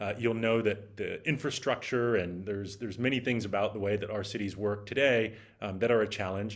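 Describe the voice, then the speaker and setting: A man with an American accent speaks using fairly even intonation. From United States. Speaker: startup executive and venture capitalist. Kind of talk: keynote talk. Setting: virtual event. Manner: halting, many fillers.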